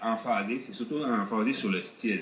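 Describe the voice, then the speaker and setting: Amid noticeable background noise and audible room echo, a man with a medium pitch talks at a fairly slow pace. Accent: Acadian. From northern New Brunswick (Acadia). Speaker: car builder. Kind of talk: TV interview. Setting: outdoors. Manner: hesitant.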